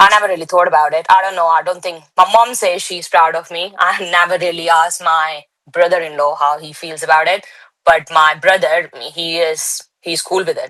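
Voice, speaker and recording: A woman with an Indian accent speaks at a moderate pace in a fairly low, bright, sharp tone, her intonation monotone and flat. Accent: Indian, still noticeable. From India, Delhi. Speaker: bodybuilder. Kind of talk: interview.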